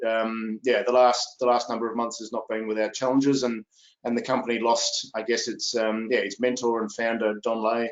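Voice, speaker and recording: With an Australian accent, a man talks at a moderate pace and medium pitch. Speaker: company executive. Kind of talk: investor presentation. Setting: video call webinar. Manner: hesitant, many fillers.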